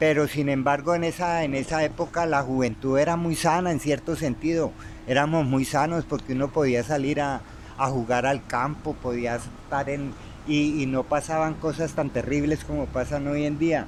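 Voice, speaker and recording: Noticeable background noise sits behind a man's speech. He keeps a moderate pace and fairly even intonation. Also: fairly high pitch for a man. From Colombia, Tolima (Armero). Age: 60s. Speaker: interviewee telling his life story. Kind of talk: life-story interview. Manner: halting, many repetitions and fillers.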